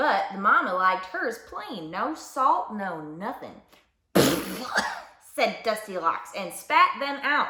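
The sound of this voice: Lively intonation runs through an unforced reading voice heard over a quiet background.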